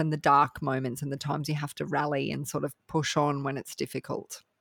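A woman speaks with an Australian accent at a very deep, low pitch. The recording is very clean and the background silent. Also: dry, close sound with no echo. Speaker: podcast producer. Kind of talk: casual chat.

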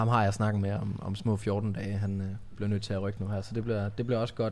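A man's fairly low-pitched voice, a normal speaking voice, at a moderate pace. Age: 30s. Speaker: podcast host, tattoo studio owner. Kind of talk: casual interview chat.

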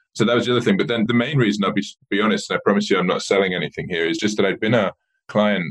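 Very fast speech from a man with an English accent, fairly low in pitch with ordinary pitch variation. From rural southern England, west of London. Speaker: mobile marketing director. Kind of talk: interview.

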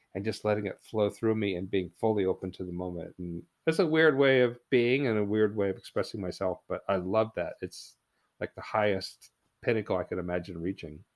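With a West Coast accent, a man talks at a fairly quick pace and with ordinary pitch variation. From US Pacific Northwest, coastal Oregon. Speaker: naturalist and author. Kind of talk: casual chat.

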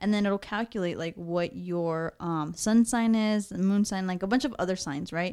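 Her voice is dark and mellow in tone and medium in pitch, and this woman talks at a moderate pace with hardly any pauses and ordinary pitch variation on a very clean recording with a silent background. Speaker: podcast co-host. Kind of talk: casual chat.

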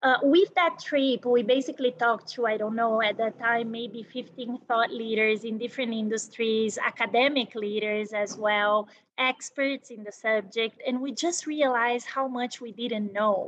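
Speaking with a Portuguese accent, a woman uses a fairly high pitch with ordinary pitch variation, a moderate pace and hardly any pauses. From Brazil. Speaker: business executive. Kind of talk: interview.

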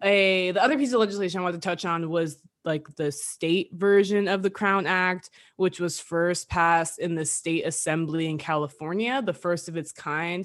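At a moderate pace, an unremarkable speaking voice carries ordinary pitch variation over a quiet background. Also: woman, fairly low pitch for a woman. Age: 20s. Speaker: podcast co-host. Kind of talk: casual chat.

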